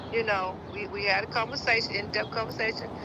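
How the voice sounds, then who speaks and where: A woman talks at a moderate pace with a fairly high pitch. Noticeable background noise and audible room echo surround her voice. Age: 60s. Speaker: mother of a missing woman. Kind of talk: interview. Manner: halting.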